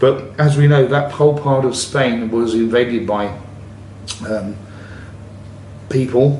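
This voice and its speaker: This man speaks at a medium pitch with an English accent and ordinary pitch variation. Audible room echo surrounds his voice. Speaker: travel vlogger. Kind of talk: casual monologue. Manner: halting.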